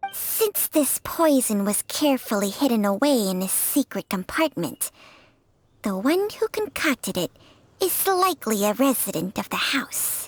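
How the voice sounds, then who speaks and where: On a very clean recording with a silent background, a put-on character voice sweeps through very wide pitch swings at a moderate pace. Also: woman, high pitch for a woman. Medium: video game. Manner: blunt, matter-of-fact.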